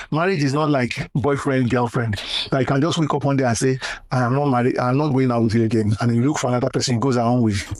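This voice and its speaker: A man's medium-pitched voice at a very fast pace, with fairly even intonation and very even loudness. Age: 60s. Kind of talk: interview answer, life advice.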